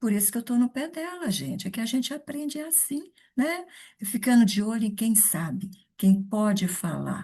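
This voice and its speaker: Her voice is somewhat breathy with a dark, mellow tone as the woman speaks at a moderate pace. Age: 70s. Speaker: live show host, network marketer. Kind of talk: live stream introduction.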